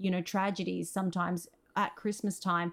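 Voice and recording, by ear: The pace is moderate and the pitch shows little movement. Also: woman.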